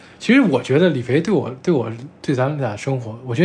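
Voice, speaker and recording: Somewhat breathy, a man with a medium pitch talks at a fairly quick pace with lively intonation. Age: 20s. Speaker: podcast co-host. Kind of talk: casual chat.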